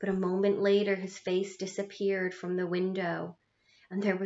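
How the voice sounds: Set against a quiet background, the speaker uses a natural reading voice.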